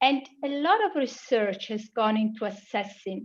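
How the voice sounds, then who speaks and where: A woman's fairly high voice with an Italian accent, lively intonation and a moderate pace. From Italy. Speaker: global health researcher. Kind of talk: conference presentation.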